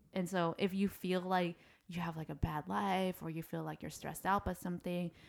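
Fairly quick and with ordinary pitch variation, the speech comes in an unremarkable speaking voice. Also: woman. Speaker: podcast co-host. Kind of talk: casual chat.

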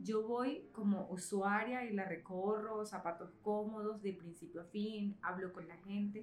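Speaking at a medium pitch with fairly even intonation, a woman goes at a fairly slow pace with hardly any pauses and big swings in loudness, in a room with audible echo and noticeable background noise. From Caribbean coast of Colombia. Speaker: entrepreneur, children's room designer. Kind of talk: interview.

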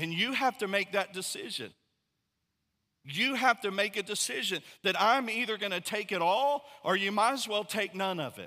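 A man speaks in a raised, projected voice that is high in pitch and bright, sharp in tone, at a moderate pace with ordinary pitch variation. The recording is very clean, with a silent background. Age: 40s. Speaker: pastor. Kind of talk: sermon.

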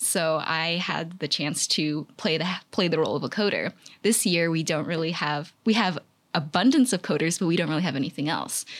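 A woman talks at a fairly quick pace in a fairly low pitch, with ordinary pitch variation and a plain, everyday voice. The recording is very clean, with a silent background. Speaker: college student, math major. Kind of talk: casual interview.

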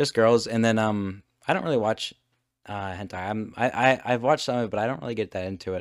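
Someone with an American accent speaks at a very fast pace with ordinary pitch variation. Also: man, medium pitch for a man. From United States. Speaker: podcast host. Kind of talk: casual chat. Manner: halting.

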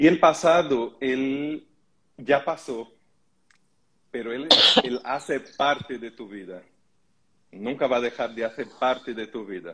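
A man with a Portuguese accent, medium pitch, ordinary pitch variation and a fairly slow pace. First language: Portuguese (speaking Spanish). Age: 40s. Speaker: holistic therapist. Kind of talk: live stream panel discussion.

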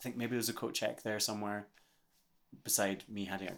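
With a Scottish accent, a man talks at a very fast pace in a monotone, flat intonation, on a very clean recording with a silent background. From Scotland. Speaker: singer-songwriter. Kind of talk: casual chat.

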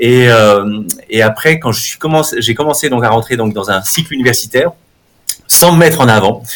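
Talking at a moderate pace, a man uses a medium pitch with ordinary pitch variation. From France, Haute-Savoie. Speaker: neuromarketing professor. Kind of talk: interview.

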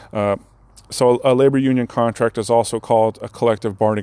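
Talking very fast, a man with a medium-pitched voice and a dark, mellow tone keeps his intonation fairly even, the sound dry and close with no echo. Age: 30s. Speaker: union steward and podcast host. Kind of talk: casual explanatory talk. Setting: on site at work building during lunch break. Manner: halting, many fillers.

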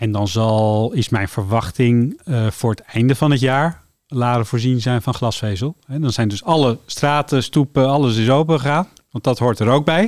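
A man speaks at a moderate pace and medium pitch with ordinary pitch variation, a plain, everyday voice in a very clean recording with a silent background. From Netherlands, Amsterdam. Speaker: telecom company director. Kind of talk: radio interview.

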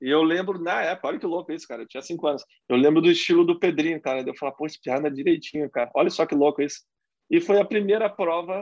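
Against a quiet background, a man speaks very fast with a high pitch and ordinary pitch variation. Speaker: motocross racer. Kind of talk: casual chat.

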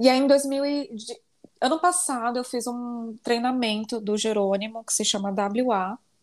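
A woman speaks at a fairly slow pace in a high voice with ordinary pitch variation. The recording is very clean, with a silent background. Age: 20s. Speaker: life coach and lawyer. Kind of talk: casual interview chat.

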